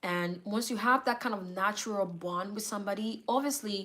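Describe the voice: The speaker gives a plain reading aloud, with the pitch shifting in an ordinary way.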